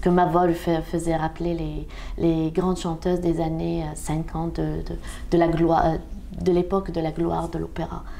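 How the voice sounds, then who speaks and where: Female speech at a middling pace, echoing audibly around the room. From Algeria. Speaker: opera singer. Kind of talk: interview. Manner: halting.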